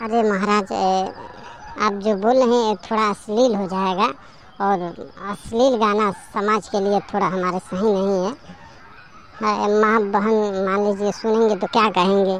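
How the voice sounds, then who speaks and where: A woman performs a cartoonish character voice in a monotone, flat delivery with long, frequent pauses. Background noise is clearly audible. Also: medium pitch for a woman, moderate pace. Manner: deferential, says "maharaj" often.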